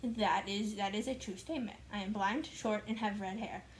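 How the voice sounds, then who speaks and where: A woman's fairly high-pitched voice, with fairly even intonation, comes through audible room echo. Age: 20s. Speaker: vlogger. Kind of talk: casual vlog chat. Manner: filler-heavy casual speech.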